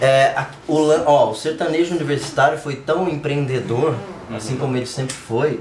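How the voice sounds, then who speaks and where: Noticeable background noise surrounds this recording. A man speaks with a fairly high pitch and fairly even intonation. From inland Brazil. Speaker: music podcast co-host. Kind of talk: casual chat. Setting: live stream.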